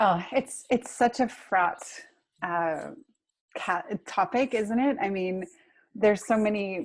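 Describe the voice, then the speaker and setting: On a quiet background, a woman with an American accent talks at a very slow pace and a medium pitch, with ordinary pitch variation and long, frequent pauses. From United States. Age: 40s. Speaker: author. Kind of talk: interview. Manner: many fillers and restarts.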